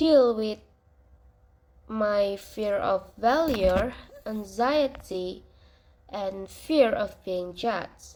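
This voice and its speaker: Speaking with a non-native accent, a woman pauses long and often at a very slow pace. Her pitch is fairly high, and her intonation is lively. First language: not English. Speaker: university student. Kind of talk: class assignment reflection monologue. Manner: hesitant, with fillers.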